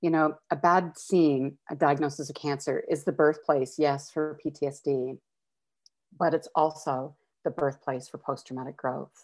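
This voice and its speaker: The speaker has a Canadian accent and a monotone, flat intonation. The background is quiet. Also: woman. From Calgary, Alberta, Canada. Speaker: nurse educator and wellness consultant. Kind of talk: interview conversation.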